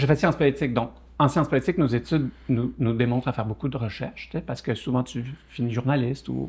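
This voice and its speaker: At a fairly quick pace, a man talks with a medium pitch and ordinary pitch variation. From Quebec (Saguenay) and France (Burgundy). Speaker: entrepreneur. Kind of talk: podcast interview. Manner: hesitant, many fillers and repetitions.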